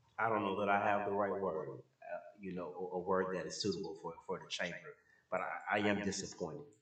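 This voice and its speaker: At a fairly quick pace, a man speaks with audible room echo. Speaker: city commissioner. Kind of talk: public meeting discussion. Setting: city commission chamber. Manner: halting, many repetitions.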